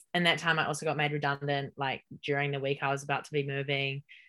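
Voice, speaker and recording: Against a quiet background, a woman with a New Zealand accent talks at a fairly quick pace in a very deep, low voice with monotone, flat intonation. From New Zealand, Hamilton. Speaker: podcast guest, founder of a self-development initiative. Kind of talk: casual interview chat.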